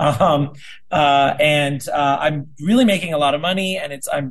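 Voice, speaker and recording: This man's voice sits fairly high and is somewhat breathy. He keeps a moderate pace with ordinary pitch variation. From South Dakota. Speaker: middle school teacher and union delegate. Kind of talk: casual interview.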